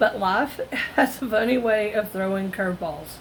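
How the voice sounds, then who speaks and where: Her pitch moves in an ordinary way as she talks at a moderate speed. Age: 50s. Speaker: retail self-checkout worker. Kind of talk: casual talk to camera.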